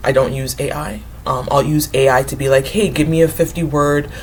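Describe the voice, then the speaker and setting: With noticeable background noise around her, this woman talks at a fairly quick pace. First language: not English; English is her third language. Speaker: writer and book vlogger. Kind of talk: casual talk to camera. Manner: hesitant, many fillers.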